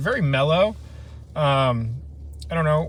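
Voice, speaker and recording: A man speaks with a fairly high pitch and a somewhat breathy voice. His intonation is lively, and the room echo is audible. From Ohio, US Midwest. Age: 30s. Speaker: camping vlogger. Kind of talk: casual live stream chat. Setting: outdoors, truck camping in the wilderness.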